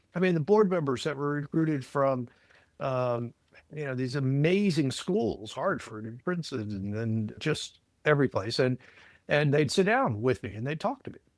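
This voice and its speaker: With lively intonation, a man speaks at a moderate pace and a fairly high pitch. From US, Virginia (Alexandria). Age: 60s. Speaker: credit union consultant, former executive. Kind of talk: podcast interview. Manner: energetic.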